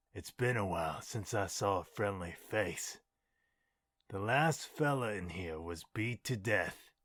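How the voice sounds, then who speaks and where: A man does a put-on character voice, raspy and fairly low, with lively intonation at a fairly slow pace. The recording is very clean with a silent background. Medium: machinima. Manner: terse, wary.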